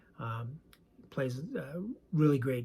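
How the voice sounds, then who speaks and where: A man with a medium pitch speaks in a somewhat breathy voice at a moderate pace. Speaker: sports card collector and YouTuber. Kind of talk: casual video chat. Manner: halting with many fillers.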